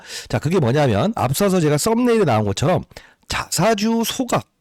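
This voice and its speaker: In a very clean recording with a silent background, a man speaks at a moderate pace in a high pitch with very wide pitch swings. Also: dry, close sound with no echo. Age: 60s. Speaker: stock market YouTuber, former fund manager. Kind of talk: market analysis monologue. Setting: at a microphone.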